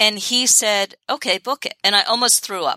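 At a moderate pace, a woman with an American accent talks in a bright, sharp tone, the sound dry and close with no echo. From New York City. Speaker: business coach. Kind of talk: podcast interview.

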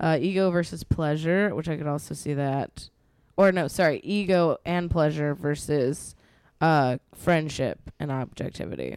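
An ordinary speaking voice belongs to a woman with an American accent, fairly low pitch, ordinary pitch variation, and a moderate pace. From Texas. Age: 30s. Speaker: podcast co-host. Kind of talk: casual chat.

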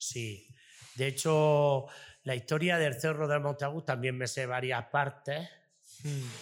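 A man speaks very slowly at a fairly high pitch, with fairly even intonation and long, frequent pauses. The recording is very clean, with a silent background. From Almería province, Spain. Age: 40s. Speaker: restaurant owner. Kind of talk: interview. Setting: in his restaurant.

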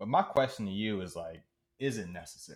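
A man with an American accent has an unremarkable speaking voice, fairly low in pitch with ordinary pitch variation. He talks at a moderate pace in a very clean recording with a silent background. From Maryland (Prince George's County), US. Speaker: podcast co-host. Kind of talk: casual chat.

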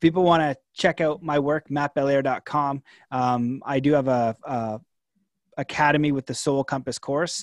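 A man's ordinary speaking voice, fairly high in pitch for a man, at a moderate pace with fairly even intonation, dry and close with no echo, on a very clean recording with a silent background. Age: 30s. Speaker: author and coach. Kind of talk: casual chat.

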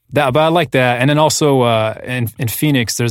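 Talking at a fairly quick pace, a man uses an unremarkable speaking voice with ordinary pitch variation. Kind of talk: casual interview chat.

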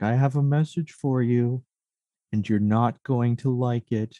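A man performs a put-on character voice. He keeps a medium pitch and a moderate pace. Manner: menacing, ominous.

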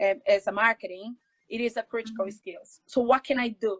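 A woman speaks at a fairly high pitch with a Brazilian Portuguese accent. Her intonation stays fairly even. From Brazil, São Paulo. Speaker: jiu-jitsu athlete and coach. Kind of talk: interview.

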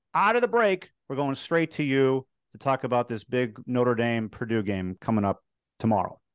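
A man with an American accent speaks at a moderate pace in an unremarkable speaking voice. The sound is dry and close with no echo, over a quiet background. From Chicago. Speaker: sports TV host. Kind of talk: interview.

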